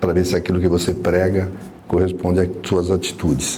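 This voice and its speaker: Through noticeable background noise and audible room echo, a man speaks in a very deep, low voice. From São Paulo city, Brazil. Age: 60s. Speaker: city councillor. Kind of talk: panel talk at a debate event.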